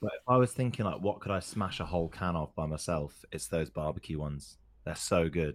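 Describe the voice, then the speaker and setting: Speaking fairly quickly with an English accent, a man with a very deep, low pitch uses lively intonation on a very clean recording with a silent background. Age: 20s. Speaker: podcast co-host. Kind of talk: casual chat.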